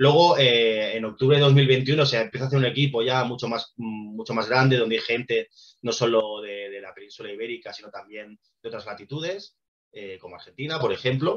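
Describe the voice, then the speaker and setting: Fairly quick speech from a man at medium pitch, ordinary pitch variation and big swings in loudness. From Spain, Barcelona. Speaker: documentary project co-founder. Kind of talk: presentation talk. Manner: fast; hesitant, many fillers.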